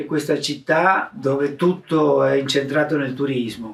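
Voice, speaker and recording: A man talks with fairly even intonation at a fairly high pitch. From Argentina. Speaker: mask maker. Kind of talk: interview answer.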